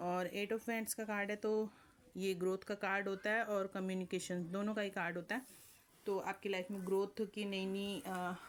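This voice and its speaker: A woman speaks at medium pitch. Her delivery is moderate in pace and monotone, with flat intonation. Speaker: tarot reader. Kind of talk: tarot reading. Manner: hesitant, frequent fillers.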